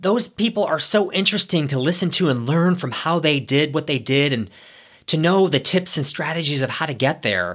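Over a very clean recording with a silent background, a man with an American accent and an unremarkable speaking voice talks at a moderate pace with a fairly high pitch and lively intonation. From US Midwest, Ohio. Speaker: podcast host, former corporate executive. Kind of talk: solo podcast monologue.

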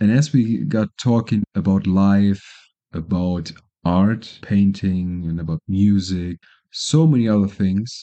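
A man with a German accent, a fairly low pitch, ordinary pitch variation and a very slow pace. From Germany. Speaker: podcaster. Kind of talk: casual monologue.

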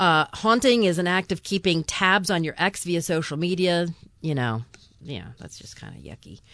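In a quiet background, a woman with a fairly low pitch and a normal speaking voice talks at a moderate pace, her intonation lively and her loudness swinging widely. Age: 60s. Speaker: podcast host. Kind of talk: casual chat.

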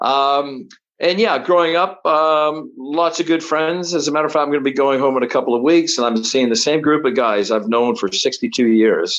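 An ordinary speaking voice from a man, fairly high-pitched with lively intonation, at a moderate pace with hardly any pauses and very even loudness, over a quiet background. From Canada, Toronto. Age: 60s. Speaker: travel entrepreneur and ski racer. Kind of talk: interview storytelling.

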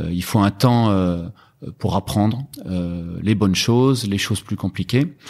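Speaking at a very slow pace, a man with a fairly low pitch is heard on a very clean recording with a silent background. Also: ordinary pitch variation. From Brittany, France (Rennes). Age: 50s. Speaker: e-commerce entrepreneur. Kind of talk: podcast interview.

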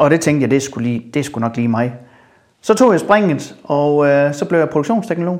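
A man's fairly high voice at a fairly quick pace. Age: 40s. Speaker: welding company founder. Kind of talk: casual interview. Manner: hesitant, many fillers and repeats.

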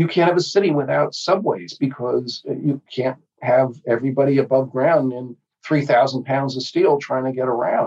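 A man with an American accent and a normal speaking voice talks at a moderate pace and medium pitch, with ordinary pitch variation. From New Jersey. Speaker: pediatrician and public health professor. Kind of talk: interview.

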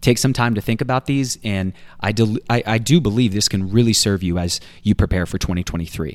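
A man talks at a fairly quick pace in a fairly low pitch with ordinary pitch variation. It is an ordinary speaking voice. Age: 30s. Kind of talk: personal development tip; devotional teaching.

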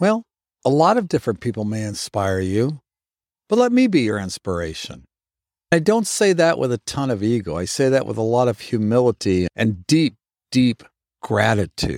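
At a moderate pace, a man speaks at a medium pitch with very wide pitch swings. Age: 60s. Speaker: fitness instructor. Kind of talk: motivational talk.

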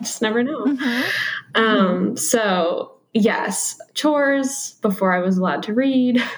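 A woman with an American accent speaks very slowly at a fairly high pitch with lively intonation, against noticeable background noise. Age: 20s. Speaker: homemaker. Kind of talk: interview. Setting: remote video call.

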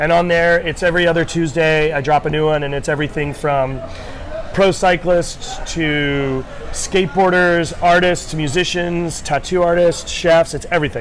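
With an American accent, a man speaks at a high pitch and a moderate pace, amid audible room echo and noticeable background noise. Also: fairly even intonation. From US New England, Rhode Island. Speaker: chef. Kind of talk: casual interview.

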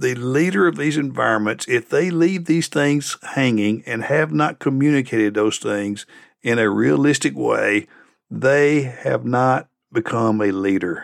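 A man with a plain, everyday voice, medium pitch and lively intonation at a fairly slow pace, on a very clean recording with a silent background. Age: 60s. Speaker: leadership podcast host and consultant. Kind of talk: solo reflective monologue.

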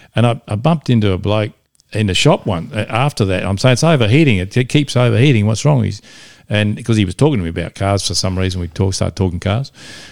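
A man with an Australian accent talks very fast in a fairly low pitch, his intonation lively, on a very clean recording with a silent background. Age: 60s. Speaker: classic car enthusiast. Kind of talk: casual chat.

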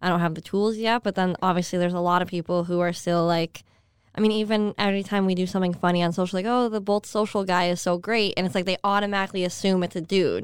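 On a very clean recording with a silent background, a normal speaking voice with an American accent talks at a fairly quick pace with fairly even intonation. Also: woman. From upstate New York. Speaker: social media manager for a hockey team. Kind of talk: casual chat.

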